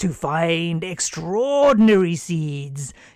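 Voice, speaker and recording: Someone in a put-on character voice speaks at a middle pitch and a very slow pace. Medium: read story. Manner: gentle, unhurried.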